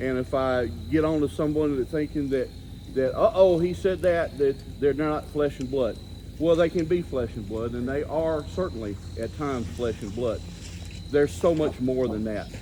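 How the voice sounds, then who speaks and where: With a plain, everyday voice, a man of fairly high pitch talks at a moderate pace using lively intonation. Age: 60s. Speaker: Bigfoot researcher and author. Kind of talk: talk to a seated audience.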